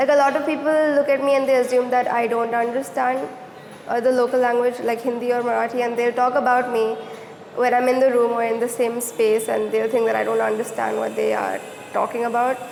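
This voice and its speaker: With a high pitch and monotone, flat intonation, a woman talks at a fairly quick pace amid noticeable background noise and audible room echo. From Mumbai, India. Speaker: student interviewee. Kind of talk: interview testimony.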